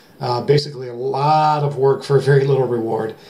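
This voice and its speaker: With an American accent, a man speaks at medium pitch against noticeable background noise. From Ohio, US Midwest (Elyria). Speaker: metal detecting YouTuber. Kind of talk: casual vlog talk to camera. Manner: fast; hesitant with fillers.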